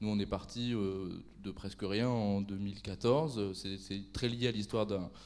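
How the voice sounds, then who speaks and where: A man talks at a fairly slow pace with fairly even intonation. The recording carries audible room echo. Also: fairly low pitch for a man. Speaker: association director. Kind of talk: conference talk.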